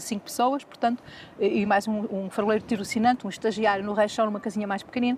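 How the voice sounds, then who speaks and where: A woman speaks very fast in a fairly high voice, her intonation fairly even. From northern Portugal, Minho. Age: 60s. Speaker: lighthouse keeper's daughter, local historian. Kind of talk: interview. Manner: talkative.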